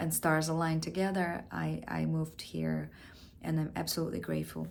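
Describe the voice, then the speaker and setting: In a room with audible echo, a woman with a Russian accent speaks at a moderate pace. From Russia (Siberia). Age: 40s. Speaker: actor. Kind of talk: audition self-introduction.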